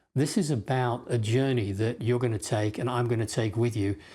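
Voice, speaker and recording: A man's somewhat breathy voice, medium in pitch with a dark, mellow tone, at a fairly quick pace, on a very clean recording with a silent background. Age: 50s. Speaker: health course instructor. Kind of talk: course introduction talk. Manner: conversational, with fillers.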